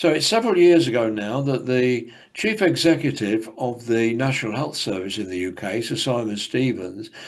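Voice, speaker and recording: A man with an English accent speaks at a medium pitch and a moderate pace. His intonation is lively, and audible room echo surrounds the voice. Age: 70s. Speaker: academic speaker. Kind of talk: conference presentation. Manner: halting.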